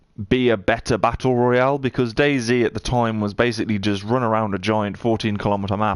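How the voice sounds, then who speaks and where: Words come out at a very fast pace from a man. His pitch is medium, and his intonation stays fairly even. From United Kingdom. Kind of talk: casual gaming livestream commentary.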